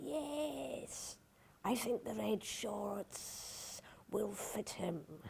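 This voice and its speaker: Hissing through a put-on character voice, a woman at medium pitch speaks very slowly with very wide pitch swings. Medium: read story.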